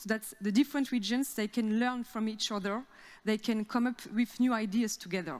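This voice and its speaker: A woman with a French accent, fairly high pitch, fairly even intonation and a fairly quick pace. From France. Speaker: regional cooperation officer. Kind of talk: conference presentation. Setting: theater stage with audience. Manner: halting, many fillers.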